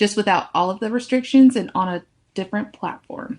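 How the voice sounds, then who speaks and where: A woman speaks in an American accent at a fairly quick pace. Her pitch variation is ordinary. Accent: Southern accent, toned down now. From US South, near Charlotte, North Carolina. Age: 20s. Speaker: podcast co-host. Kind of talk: scripted intro, then casual chat.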